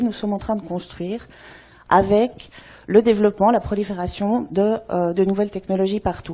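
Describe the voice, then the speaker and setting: On a very clean recording with a silent background, a woman speaks in a Swiss accent, her tone dark and mellow and her pitch medium. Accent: Swiss French, noticeable. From Switzerland. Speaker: anthropologist. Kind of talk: conference talk. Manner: many filler hesitations.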